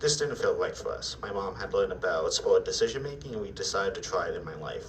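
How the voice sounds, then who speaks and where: Noticeable background noise and audible room echo accompany a man talking at a very fast pace. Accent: American. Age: 20s. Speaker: self-advocate speaker. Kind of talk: presentation.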